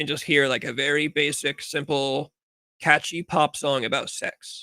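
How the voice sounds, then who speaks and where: In a Californian accent, the voice is quiet, with a bright, sharp tone and a dry, close sound free of echo. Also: man. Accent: Californian American. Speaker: livestream talk show host. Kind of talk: casual livestream chat. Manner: uneven volume, loud and quiet.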